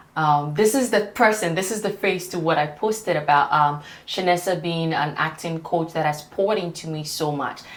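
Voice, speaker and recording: With a non-native accent, a woman speaks at a moderate pace with hardly any pauses, her fairly low voice showing ordinary pitch variation amid audible room echo. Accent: non-native accent, embraced. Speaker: podcast host. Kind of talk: casual chat. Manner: warm, hesitant with fillers.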